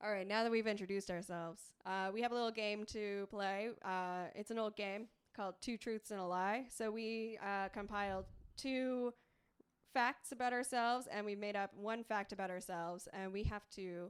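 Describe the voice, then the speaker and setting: A woman at a moderate pace and medium pitch, with fairly even intonation. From Prince Edward Island, Canada. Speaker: podcast co-host. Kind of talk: casual chat. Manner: loud.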